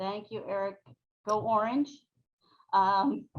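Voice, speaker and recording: Medium pitch from a woman, with ordinary variation in pitch. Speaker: panel moderator. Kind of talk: webinar panel moderation.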